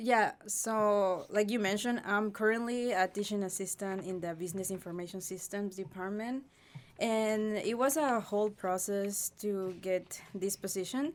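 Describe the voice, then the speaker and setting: With a Spanish accent, a woman speaks at a moderate pace and medium pitch, keeping her intonation fairly even. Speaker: graduate teaching assistant. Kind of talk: podcast interview.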